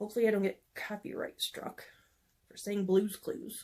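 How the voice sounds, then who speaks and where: A woman speaks in a relaxed tone, fairly high in pitch and somewhat breathy. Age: 40s. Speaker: beauty vlogger. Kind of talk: casual talk to camera. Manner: chatty, relaxed.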